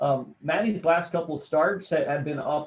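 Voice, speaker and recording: At a moderate pace, a man talks in a plain, everyday voice, his pitch varying in an ordinary way. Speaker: radio play-by-play announcer and sports commentator. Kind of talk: sports analysis interview answer.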